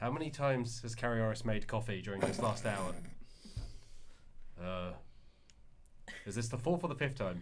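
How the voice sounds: At a moderate pace broken by long, frequent pauses, a man with a fairly low pitch speaks with lively intonation.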